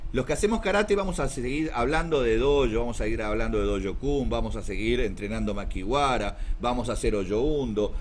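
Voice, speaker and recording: A man at a fairly quick pace with hardly any pauses, audible room echo around him. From South America. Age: 60s. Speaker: karate teacher. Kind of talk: talk.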